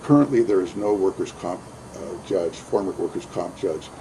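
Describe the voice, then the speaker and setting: A man's fairly quick speech comes with noticeable background noise. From Southern California. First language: Spanish. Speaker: judicial candidate, workers' compensation judge. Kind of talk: interview. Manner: halting, many fillers.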